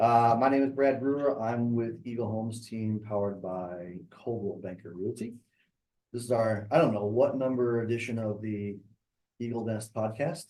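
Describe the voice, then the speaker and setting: At a moderate pace, a man speaks with a medium pitch, a dark, mellow tone, and fairly even intonation. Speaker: podcast host; real estate agent. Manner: monotone, flat delivery; low energy today.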